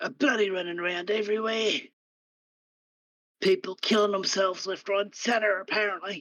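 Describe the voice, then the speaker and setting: In a put-on character voice with a rumbling, fairly high pitch, the speaker goes at a moderate pace with long, frequent pauses. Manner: grumbling.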